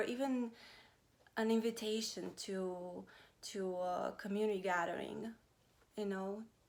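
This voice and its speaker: A woman with a Romanian accent speaks at a very slow pace. Her pitch sits fairly high, and her intonation stays fairly even. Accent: Romanian accent, noticeable. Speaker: vlogger. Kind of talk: personal vlog talk. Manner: halting, many fillers.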